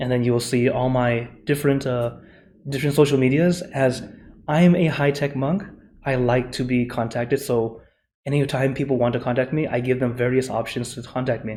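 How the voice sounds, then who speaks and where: With an American accent, a man speaks at a fairly quick pace in a medium pitch, his dark, mellow tone somewhat breathy and his intonation fairly even. Audible room echo surrounds his voice. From USA. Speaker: Buddhist monk and meditation teacher. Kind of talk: conference presentation; Q&A answer. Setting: conference forum. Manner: fast.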